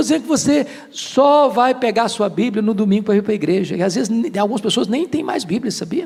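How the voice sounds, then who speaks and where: This man's voice is extremely high for a man, with lively intonation and an animated tone. He talks at a very fast pace over noticeable background noise. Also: hardly any pauses. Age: 60s. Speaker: pastor. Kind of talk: sermon.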